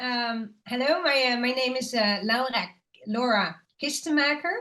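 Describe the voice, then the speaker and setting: Someone with a Dutch accent speaks at a fairly slow pace in a bright, sharp tone with ordinary pitch variation. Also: woman, high pitch for a woman. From Netherlands. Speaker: legal researcher. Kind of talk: panel presentation. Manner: halting, many fillers.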